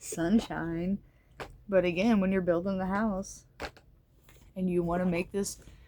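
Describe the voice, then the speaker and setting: A woman's mumbling, medium-pitched voice with a dark, mellow tone. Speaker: tarot reader. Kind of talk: tarot reading monologue. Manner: casual, hesitant with fillers.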